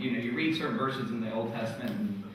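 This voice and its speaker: There is audible room echo and noticeable background noise as a man speaks with ordinary pitch variation. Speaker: conference presenter. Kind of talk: presentation to audience. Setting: stage with audience. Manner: fast; halting, many fillers.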